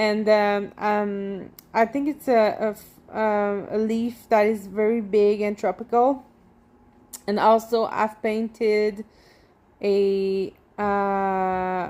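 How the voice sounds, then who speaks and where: The speaker talks very slowly with a Quebec accent. The intonation stays fairly even. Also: woman, fairly high pitch for a woman. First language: French. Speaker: tattoo artist and painter. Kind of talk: casual vlog monologue while walking. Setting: outdoors walking in neighborhood. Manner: halting, many fillers and restarts.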